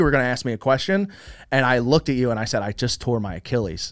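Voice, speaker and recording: On a very clean recording with a silent background, a man with an American accent speaks at a medium pitch and a very fast pace. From Philadelphia, US Northeast. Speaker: gaming content creator. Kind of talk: casual interview.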